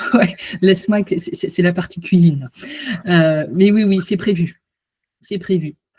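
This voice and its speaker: A woman at a medium pitch and fairly slow pace, with long, frequent pauses. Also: ordinary pitch variation. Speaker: hypnotherapist and coach. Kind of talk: online conference wrap-up after hypnosis. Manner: soft-spoken.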